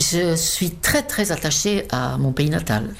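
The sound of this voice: With vocal fry and low pitch, a woman talks at a fairly slow pace. Her intonation is lively.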